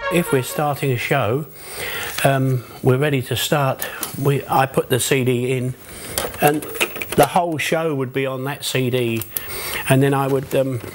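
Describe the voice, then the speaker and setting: Over noticeable background noise, a man with a medium-pitched voice talks at a fairly slow pace, leaving long, frequent pauses. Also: fairly even intonation. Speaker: music operator for entertainment group. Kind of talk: documentary interview answer. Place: home room.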